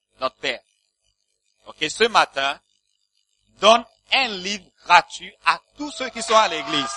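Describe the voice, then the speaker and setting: With a raised, projected voice, a man speaks high-pitched and very slowly, taking long, frequent pauses, his pitch swinging very widely and his loudness swinging a lot, in a dry, close sound with no echo. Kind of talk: sermon with blessing and prayer. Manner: fervent, animated, exclamatory preaching; call-and-response with the congregation.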